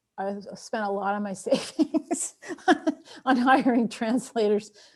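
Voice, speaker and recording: A woman with an Armenian accent speaks at a fairly slow pace in a fairly high, somewhat breathy voice with ordinary pitch variation. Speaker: author. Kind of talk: Q&A after a talk.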